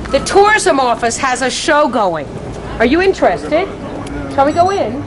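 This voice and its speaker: A woman's high voice at a moderate pace, very wide pitch swings, crowd noise behind her and audible room echo. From US Northeast, Connecticut. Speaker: tour guide. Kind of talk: guided tour commentary. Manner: casual.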